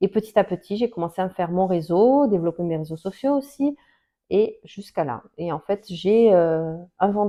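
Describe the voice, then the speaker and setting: With lively intonation, a woman talks at a moderate pace and medium pitch. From Portugal, moved to France at age ten. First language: Portuguese (speaking French). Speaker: Portuguese language teacher. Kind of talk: casual personal account to camera. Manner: hesitant, many fillers and restarts.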